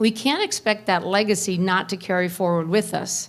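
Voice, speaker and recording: The recording is very clean, with a silent background. A woman speaks in an American accent. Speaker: keynote speaker, bank CEO and activist. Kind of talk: conference keynote speech. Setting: stage with audience. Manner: fast.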